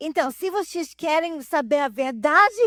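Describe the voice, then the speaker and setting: Speaking with a non-native accent, a woman uses a high pitch, a bright, sharp tone and lively intonation at a fairly slow pace. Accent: foreign accent in Portuguese. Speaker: pastor. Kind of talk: testimony. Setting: church. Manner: halting.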